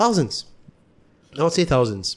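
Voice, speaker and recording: A man talks very fast, and the recording is very clean with a silent background. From Malaysia, Kuala Lumpur area. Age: 20s. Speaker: musician. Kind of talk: casual chat.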